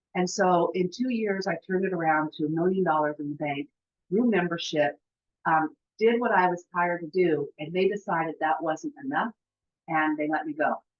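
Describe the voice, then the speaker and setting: A woman's ordinary speaking voice, fairly low in pitch, with ordinary pitch variation at a moderate pace. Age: 60s. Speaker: insurance agent. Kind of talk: testimony.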